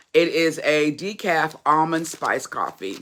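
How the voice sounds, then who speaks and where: A loud woman at a very slow pace, with a bright, sharp tone and ordinary pitch variation. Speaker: YouTube vlogger / motivational podcaster. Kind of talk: casual livestream chat.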